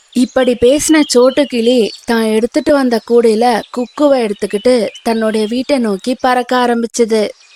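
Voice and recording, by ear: A woman with a fairly high pitch and a dark, mellow tone talks at a moderate pace with fairly even intonation. The sound is dry and close, with no echo.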